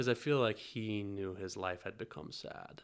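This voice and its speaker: At a moderate pace, a man with an American accent speaks in a fairly low pitch with fairly even intonation, using a normal speaking voice. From US South, North Carolina. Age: 20s. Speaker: podcast guest sharing grief story. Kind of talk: casual interview chat.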